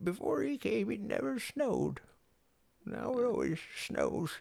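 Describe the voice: At a moderate pace, a put-on character voice speaks at a middle pitch.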